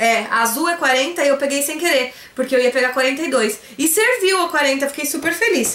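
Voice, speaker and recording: A woman with a Brazilian accent speaks at a moderate pace in a high pitch, with ordinary pitch variation and an animated tone. Audible room echo surrounds her voice. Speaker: YouTuber, online shop owner; YouTuber. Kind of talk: haul vlog, casual talk to camera. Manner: chatty, animated. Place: home room. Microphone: phone near.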